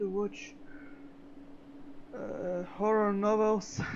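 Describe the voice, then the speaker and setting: Noticeable background noise sits behind a speaker with a non-native accent who talks at a very slow pace. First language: not English. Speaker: game streamer. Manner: halting.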